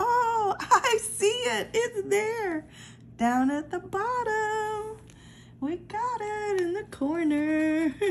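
Over light background noise, a woman speaks very slowly, her pitch swinging very widely. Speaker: lottery ticket scratching vlogger. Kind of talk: casual vlog commentary. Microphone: phone near.

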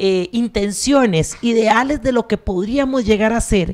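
A woman with an unremarkable speaking voice talks at a fairly high pitch and a fairly slow pace, with ordinary pitch variation, against a quiet background. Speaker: university researcher, council candidate; council candidate. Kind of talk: campaign presentation. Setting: stage with audience. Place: classroom. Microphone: handheld.

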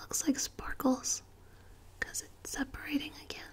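Ordinary pitch variation runs through the voice. It belongs to a woman. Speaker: ASMR creator. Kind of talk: soft ASMR show-and-tell chat. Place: home room.

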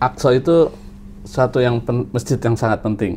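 Ordinary pitch variation in a man's speech, with light noise behind it. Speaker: travel podcast host. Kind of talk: casual interview. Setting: studio. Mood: cheerful, friendly. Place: studio. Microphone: lapel.

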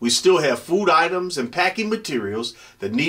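The voice reads in a natural way.

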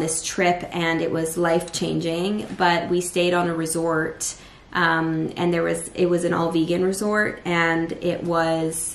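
A woman speaks at a fairly slow pace with a fairly low pitch, monotone, flat intonation and very even loudness, with audible room echo. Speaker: vlogger. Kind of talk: casual vlog chat. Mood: earnest, reflective. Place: kitchen. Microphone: phone near.

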